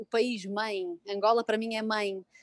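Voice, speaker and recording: This woman's voice sits fairly high and moves at a moderate pace. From Portugal, Porto. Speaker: psychologist and blogger. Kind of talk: casual interview. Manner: halting, many fillers.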